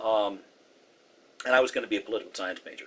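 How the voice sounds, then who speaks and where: A man talks with an American accent. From US West Coast, Southern California (Orange County). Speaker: former Air Force missile officer. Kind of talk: oral history interview.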